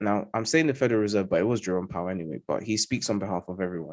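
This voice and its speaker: This recording is very clean, with a silent background. A man speaks with a London accent. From London, England. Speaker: trading educator. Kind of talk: live market analysis. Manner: emphatic, repetitive fillers.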